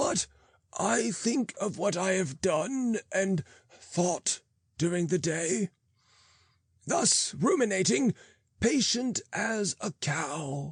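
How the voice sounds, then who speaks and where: Doing a put-on character voice, a man speaks raspy and high-pitched at a very slow pace with long, frequent pauses, over a quiet background. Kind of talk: archaic sermon reading. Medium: read story. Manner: slow, soothing, sententious.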